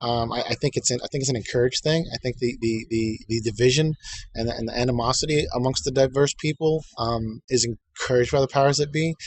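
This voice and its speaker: A man with an American accent speaks at a very fast pace and medium pitch. His voice is somewhat breathy, and his intonation is fairly even. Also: hardly any pauses. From United States. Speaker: vlogger. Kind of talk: casual monologue. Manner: halting, many fillers and repetitions.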